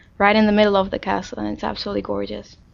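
With a Czech accent, a woman speaks at medium pitch. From Czech Republic, Prague. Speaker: interviewee. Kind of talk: casual interview. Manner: hesitant, frequent fillers.

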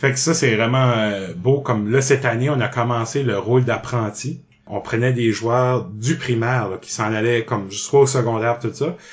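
The voice is somewhat breathy. It moves at a fairly slow pace with fairly even intonation. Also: man. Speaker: improv actor. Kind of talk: casual interview.

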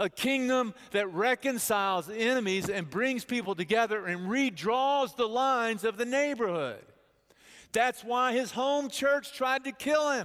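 With an American accent, a man talks at an extremely high pitch and a fairly slow pace, keeping his loudness very even. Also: ordinary pitch variation. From Texas (Bedford). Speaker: pastor. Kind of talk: sermon. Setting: church.

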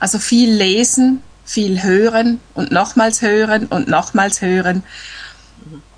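In a Swiss German accent, a woman talks at a very slow pace with a fairly high pitch. Her pitch varies in an ordinary way while her loudness swings widely. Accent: Swiss German accent, clearly audible. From eastern Switzerland, near Lake Constance. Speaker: language learner. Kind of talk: casual chat. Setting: Skype call.

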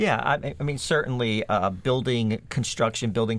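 A plain, everyday voice from a man at a moderate pace, with ordinary pitch variation and a very clean recording, silent background. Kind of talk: radio panel discussion.

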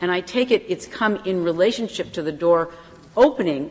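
A woman speaks at a fairly quick pace in an ordinary speaking voice. Her pitch is fairly low. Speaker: lawyer arguing before the court. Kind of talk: appellate oral argument.

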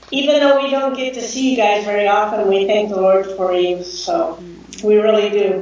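A woman with an American accent, fairly high pitch and ordinary pitch variation, over noticeable background noise. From US, Southern California. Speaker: missionary. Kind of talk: video call interview.

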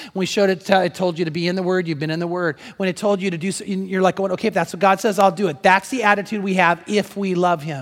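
An animated tone at a very fast pace with hardly any pauses. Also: man, high pitch for a man. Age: 60s. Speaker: pastor. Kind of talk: sermon. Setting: church.

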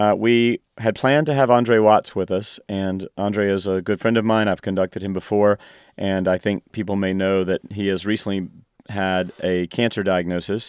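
Fairly low-pitched man with a normal speaking voice and fairly even intonation, dry and close with no echo, on a very clean recording with a silent background. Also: moderate pace. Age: 50s. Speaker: orchestra conductor. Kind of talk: interview talk about concert season.

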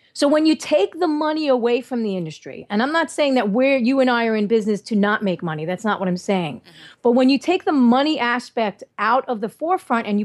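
Against a quiet background, a woman speaks at a fairly quick pace with hardly any pauses, a high pitch, very wide pitch swings and big swings in loudness. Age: 40s. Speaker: holistic health and thyroid expert. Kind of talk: interview. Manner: animated.

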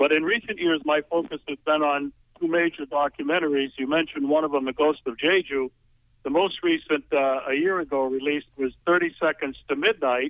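At a fairly quick pace, a man speaks with fairly high pitch and fairly even intonation. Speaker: documentary filmmaker. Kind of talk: radio interview. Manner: halting.

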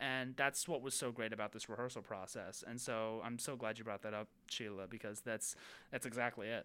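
With a normal speaking voice, a man talks at a medium pitch and a fairly quick pace, his intonation fairly even. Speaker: theater and journalism student. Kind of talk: casual chat.

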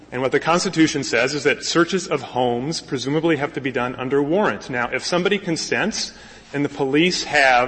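A man's fairly high voice, with ordinary pitch variation, moves at a fairly quick pace against noticeable background noise. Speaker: lawyer arguing before a court. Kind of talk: oral argument. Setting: courtroom.

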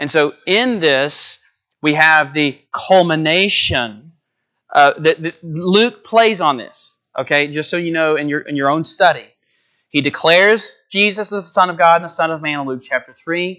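A man with a Texan accent speaks in a high pitch for a man. His pace is moderate and his pitch varies an ordinary amount. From Texas, north of Houston. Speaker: visiting preacher. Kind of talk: sermon. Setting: church. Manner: conversational with fillers.

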